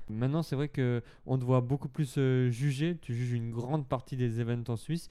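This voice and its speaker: A man's medium-pitched, dark, mellow voice at a moderate pace, with fairly even intonation. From Switzerland. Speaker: podcast host, dancer. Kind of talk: casual interview.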